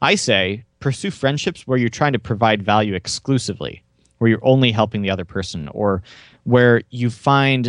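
In an ordinary speaking voice, a man talks at a moderate pace with medium pitch and ordinary pitch variation against a quiet background. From Oklahoma, US. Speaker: memory and language-learning coach, podcaster. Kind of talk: interview.

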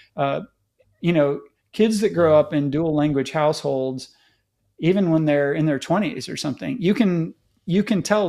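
A man with an ordinary speaking voice, fairly high in pitch, at a moderate pace. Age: 50s. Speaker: tech commentator. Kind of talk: casual chat.

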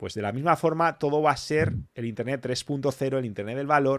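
The man speaks at a moderate pace with medium pitch and an animated tone. The sound is dry and close, with no echo. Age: 40s. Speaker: motivational channel host. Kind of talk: live stream panel talk.

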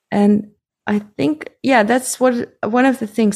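A woman speaks at a moderate pace with fairly even intonation, a normal speaking voice. The recording is very clean, with a silent background. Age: 40s. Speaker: haptotherapist. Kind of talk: interview conversation.

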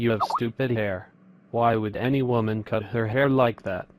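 Putting on a robotic character voice, a man of medium pitch speaks at a moderate pace. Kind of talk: flat monotone. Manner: robotic monotone.

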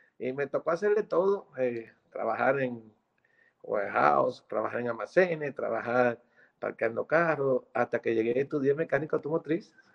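A man with a plain, everyday voice speaks at a moderate pace, his fairly high pitch carried by lively intonation. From Dominican Republic. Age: 50s. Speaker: merengue musician. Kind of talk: interview. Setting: video call.

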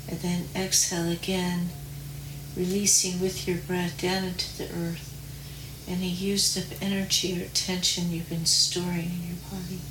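With noticeable background noise behind her, a woman speaks in a fairly low voice with a soothing, calm tone and monotone, flat intonation. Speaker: meditation guide. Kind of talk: guided meditation. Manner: slow, soothing, calm and gentle, with long pauses.

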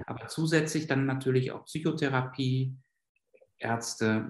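A man's medium-pitched voice at a fairly slow pace. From Germany, Westphalia. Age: 50s. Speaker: psychiatrist and clinic director. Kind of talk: interview. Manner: hesitant, many filler sounds.

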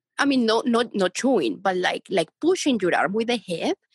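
A woman with a Spanish accent speaks at a moderate pace in a somewhat breathy voice, with very wide pitch swings. The sound is dry and close, with no echo. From Colombia, Bogota. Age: young. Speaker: dog owner. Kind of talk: casual chat.

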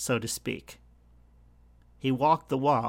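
Fairly high in pitch, a man speaks at a fairly slow pace. The recording is very clean, with a silent background. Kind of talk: faith monologue. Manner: earnest, with filler words.

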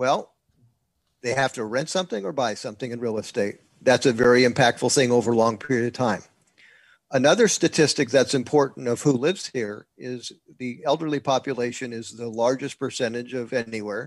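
A man's medium-pitched, normal speaking voice with an American accent, fairly quick pace and fairly even intonation against a quiet background. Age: 60s. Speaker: real estate investor and educator. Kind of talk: interview. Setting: video call.

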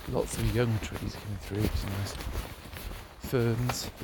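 Over noticeable background noise, a man talks in a relaxed tone at a fairly slow pace. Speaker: dog walker, podcaster. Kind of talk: solo daily diary, casual monologue. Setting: outdoors in woods. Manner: relaxed, rambling, descriptive.

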